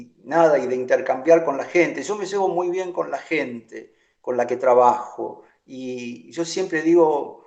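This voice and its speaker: A man with an unremarkable speaking voice talks at a fairly slow pace and a fairly high pitch. His loudness swings widely. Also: ordinary pitch variation. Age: 60s. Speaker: choreographer. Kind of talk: interview.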